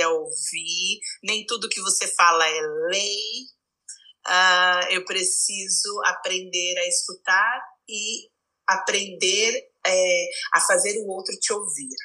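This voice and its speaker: In a bright, sharp tone, a woman speaks at a very slow pace with medium pitch and fairly even intonation. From Brazil, São Paulo. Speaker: psychologist. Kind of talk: casual chat.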